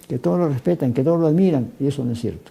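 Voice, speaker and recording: Speaking at a very fast pace, a man with a fairly high pitch and a dark, mellow tone uses ordinary pitch variation. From Peru. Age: 80s+. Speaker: former minister of education, university vice-rector. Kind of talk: TV interview.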